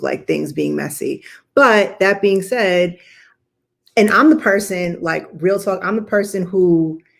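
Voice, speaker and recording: Speaking at a fairly slow pace, a woman uses vocal fry and ordinary pitch variation. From Texas. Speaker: psychiatrist and web series co-host. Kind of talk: casual chat on a livestream. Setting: live stream from home. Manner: animated.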